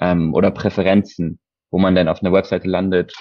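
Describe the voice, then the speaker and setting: Very deep and low, a man's voice moves at a fairly quick pace. His intonation is monotone and flat. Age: 20s. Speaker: e-commerce customer experience advisor. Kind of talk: interview.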